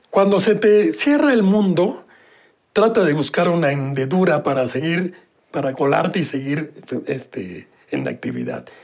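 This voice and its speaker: A man with a Mexican accent, fairly high pitch, lively intonation and a fairly slow pace. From Mexico City. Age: 80s+. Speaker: board game creator. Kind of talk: interview.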